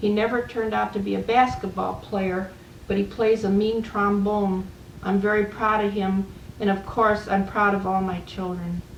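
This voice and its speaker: In an American accent, a woman talks at a moderate pace and medium pitch, her intonation monotone and flat. Room echo is audible, and there is noticeable background noise. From US Midwest, Chicago. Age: 70s. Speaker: retired waitress and dining room supervisor. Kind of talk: personal memoir recording.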